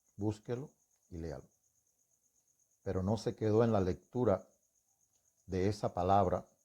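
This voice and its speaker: A man with a dark, mellow tone and fairly low pitch, at a fairly slow pace with ordinary pitch variation and long, frequent pauses, on a very clean recording with a silent background. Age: 60s. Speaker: religious testimony speaker. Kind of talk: testimony.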